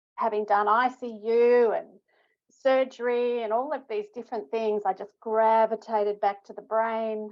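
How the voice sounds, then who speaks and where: Speaking in an Australian accent at a moderate pace, a woman with a fairly high pitch keeps a fairly even intonation while her loudness swings widely. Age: 60s. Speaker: stroke rehabilitation researcher. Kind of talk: interview.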